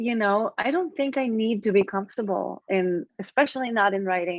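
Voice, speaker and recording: Delivered at a moderate pace with ordinary pitch variation, the speech carries an Israeli accent. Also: woman, medium pitch for a woman. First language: Hebrew. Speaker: author. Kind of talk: interview conversation. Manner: halting.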